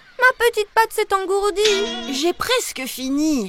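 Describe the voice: A woman uses a cartoonish character voice at an extremely high pitch. Her intonation is lively and her pace slow.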